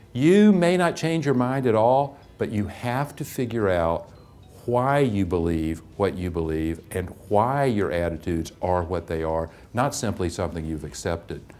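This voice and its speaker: Man with a fairly low pitch and very wide pitch swings, at a moderate pace, music in the background. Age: 60s. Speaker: English teacher. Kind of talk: testimonial interview.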